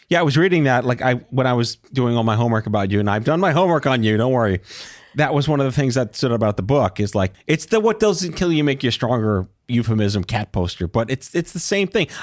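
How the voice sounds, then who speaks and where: Speaking with an American accent, a man talks at a very fast pace and medium pitch with lively intonation. His loudness is very even, and the sound is dry and close, with no echo. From New York (Brooklyn). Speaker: podcast host. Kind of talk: casual interview chat.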